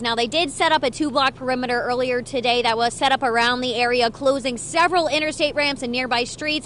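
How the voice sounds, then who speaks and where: A fairly quick delivery with an American accent. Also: woman. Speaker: TV news reporter and anchor. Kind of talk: live on-scene breaking news report.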